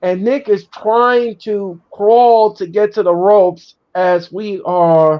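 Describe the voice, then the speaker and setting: A man's high voice with a slight New York accent, ordinary pitch variation and a very slow pace. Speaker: wrestling show host. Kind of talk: casual chat; live watch-along commentary. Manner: animated.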